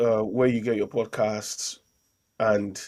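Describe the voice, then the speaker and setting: A man talks in a Nigerian accent at a fairly low pitch. His pitch variation is ordinary, and the recording is very clean with a silent background. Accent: Nigerian accent, worn with pride. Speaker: podcast host and local councillor. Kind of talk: casual political discussion. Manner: hesitant, many repeated words.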